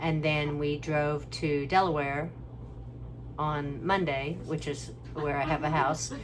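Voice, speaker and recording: In a room with audible echo, a woman speaks at a very deep, low pitch. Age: 60s. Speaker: family caregiver vlogger. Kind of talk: casual vlog monologue. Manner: halting, conversational.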